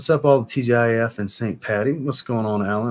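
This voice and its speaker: A man talks at a fairly quick pace with ordinary pitch variation. Light background noise is present. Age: 30s. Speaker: fragrance reviewer and livestream host; fragrance reviewer, livestream host. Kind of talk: livestream chat. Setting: livestream. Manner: animated. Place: home room.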